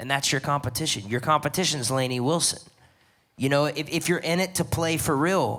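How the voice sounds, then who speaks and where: This man has an unremarkable speaking voice at a fairly high pitch. He talks at a fairly quick pace with ordinary pitch variation. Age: 20s. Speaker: songwriter, judge on a talent panel. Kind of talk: live panel feedback to an artist. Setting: stage with live audience.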